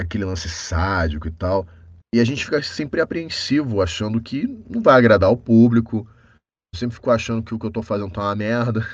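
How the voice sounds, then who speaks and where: A man with a normal speaking voice talks at a fairly quick pace, his pitch medium with ordinary variation, over a quiet background. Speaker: voice actor. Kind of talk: casual chat.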